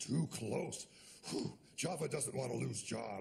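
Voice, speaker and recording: A man performs a cartoonish character voice at medium pitch. His intonation is lively and his pace fairly slow. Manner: broken simple speech, third person.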